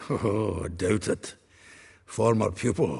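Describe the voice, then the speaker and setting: Using a raspy, put-on character voice, a man speaks at a fairly slow pace with a fairly low pitch. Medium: video game. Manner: jovial, chuckling.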